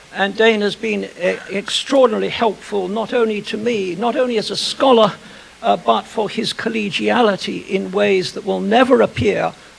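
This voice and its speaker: Moderate pace from a man, with noticeable background noise. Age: old. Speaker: historian. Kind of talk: lecture. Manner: formal.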